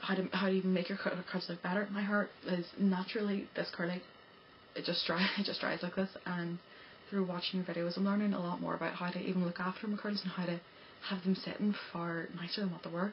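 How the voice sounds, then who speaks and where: With an Irish accent, the speaker talks at a fairly quick pace in a monotone, flat intonation against noticeable background noise. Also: woman, medium pitch for a woman. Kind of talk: casual talk to camera. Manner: fast, stammering, breathless.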